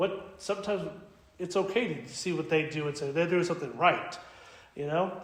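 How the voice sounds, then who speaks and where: A man with a high voice speaks at a fairly quick pace with ordinary pitch variation. Noticeable background noise and audible room echo fill the recording. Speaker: Orthodox priest. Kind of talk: Bible study talk to parishioners. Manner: fast; casual, conversational.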